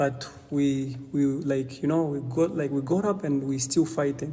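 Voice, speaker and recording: At a fairly slow pace, a man with a non-native accent talks in a fairly high pitch. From DR Congo. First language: not English. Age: 20s. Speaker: young refugee advocate. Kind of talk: interview conversation. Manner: halting, with many repetitions.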